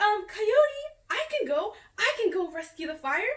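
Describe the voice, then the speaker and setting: In a put-on character voice, a woman speaks squeaky and extremely high-pitched, raised and projected, at a moderate pace with very wide pitch swings. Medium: solo performance. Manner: eager.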